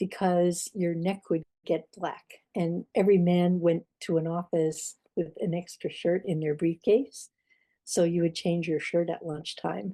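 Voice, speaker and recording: An American accent with a dark, mellow tone, a fairly slow pace and fairly even intonation, in a dry, close sound with no echo over a quiet background. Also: woman, fairly low pitch for a woman. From Pittsburgh, Mount Washington. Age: 70s. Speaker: oral history interviewee. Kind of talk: oral history interview.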